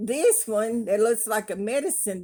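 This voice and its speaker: A woman in a Southern US accent has a fairly high pitch and a dark, mellow tone. She talks fairly slowly with lively intonation. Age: 70s. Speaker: craft vlogger. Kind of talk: casual chat. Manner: animated.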